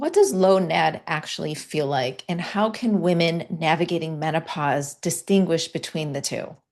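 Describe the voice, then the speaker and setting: Here is a woman in a normal speaking voice with fairly low pitch. Her pace is moderate, with ordinary pitch variation and hardly any pauses. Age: 50s. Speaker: podcast host, health coach. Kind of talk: interview. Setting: podcast interview.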